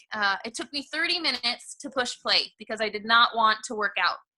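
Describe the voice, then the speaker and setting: This woman's pitch sits fairly high. She talks at a fairly quick pace. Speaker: online fitness coach leading team. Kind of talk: team coaching call, training talk. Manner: fast.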